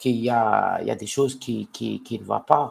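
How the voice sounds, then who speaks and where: A man with a non-native accent at a very slow pace. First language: not French (speaking French). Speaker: citizen vlogger. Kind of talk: live stream monologue. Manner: halting, many hesitations and repetitions.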